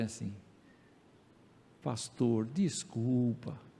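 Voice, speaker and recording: Audible room echo colors this recording. In it, a man talks at a medium pitch. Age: 70s. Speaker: pastor. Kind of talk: sermon. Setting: church.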